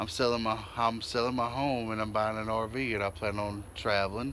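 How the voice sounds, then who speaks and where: With an American accent, the speaker talks at a moderate pace amid audible room echo. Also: man. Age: 40s. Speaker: vlogger. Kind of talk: casual vlog.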